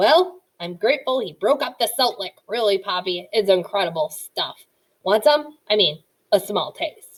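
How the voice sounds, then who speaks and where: Gruff and growling, a woman does a put-on character voice at medium pitch and a moderate pace. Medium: read story. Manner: gruff, growling.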